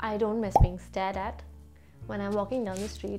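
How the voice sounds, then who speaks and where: A woman's voice with music in the background. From Bangalore, India. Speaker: vlogger. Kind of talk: casual talk to camera.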